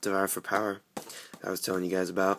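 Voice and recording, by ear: A man with a low pitch and a fairly bright tone speaks with little pitch movement.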